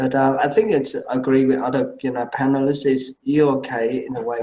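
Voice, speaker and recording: At a moderate pace, a man with a Vietnamese accent speaks in a fairly high pitch. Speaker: medical presentation panelist. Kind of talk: feedback critique. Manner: halting.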